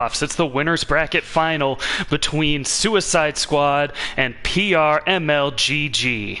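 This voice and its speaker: Over noticeable background noise, a man talks in a fairly high pitch with very even loudness. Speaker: esports shoutcaster. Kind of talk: live esports play-by-play commentary. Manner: fast, energetic.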